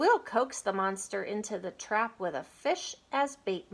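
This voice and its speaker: A woman puts on a character voice, pitched fairly high and kept at a moderate speed. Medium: read story.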